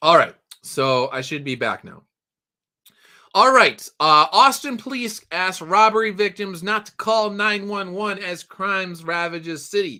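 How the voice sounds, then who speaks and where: Raised, projected voice with a bright, sharp tone, lively intonation and a fairly slow pace, on a very clean recording with a silent background. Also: man, high pitch for a man. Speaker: livestream host and story writer. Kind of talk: casual live news commentary. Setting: home livestream. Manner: casual, conversational with fillers.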